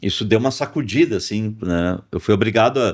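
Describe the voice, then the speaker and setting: The recording is very clean with a silent background as a man talks at a moderate pace. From Porto Alegre, southern Brazil. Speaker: rock musician and songwriter. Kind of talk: podcast interview. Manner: halting, many fillers.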